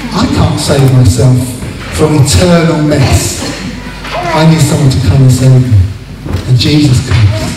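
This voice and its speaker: Amid noticeable background noise and audible room echo, a man talks fairly slowly with long, frequent pauses. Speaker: pastor. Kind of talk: sermon and baptism service. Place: hall.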